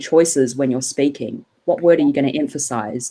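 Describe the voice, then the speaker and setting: A woman with a New Zealand accent speaks at a moderate pace. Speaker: cellist and podcast host. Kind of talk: casual interview chat.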